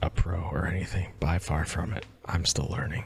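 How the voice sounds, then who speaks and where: At a moderate pace, this soft-spoken voice carries on. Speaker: ASMR creator. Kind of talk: casual gameplay commentary.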